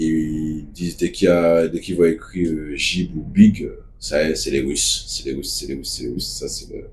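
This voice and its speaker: The speaker has a Martinican accent and a fairly slow pace. Loudness swings widely throughout. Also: man. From Martinique. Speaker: activist spokesperson. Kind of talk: casual video monologue.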